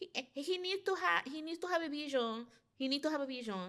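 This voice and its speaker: The speaker has a New York accent and an animated tone. The pace is fairly quick. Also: woman. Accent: New York American. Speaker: content creator. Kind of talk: casual podcast interview.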